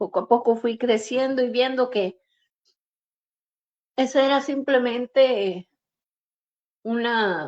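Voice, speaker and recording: A woman with a high-pitched voice speaks at a very slow pace. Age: 60s. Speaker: prophet and preacher. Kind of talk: testimony.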